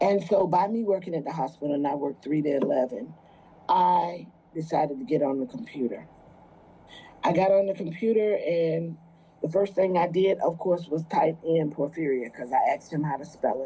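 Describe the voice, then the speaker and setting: Her tone is dark and mellow. This woman's pitch is fairly low. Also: lively intonation. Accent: American. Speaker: mother and patient caregiver telling her story. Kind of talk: personal testimony. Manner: slow; halting, many fillers.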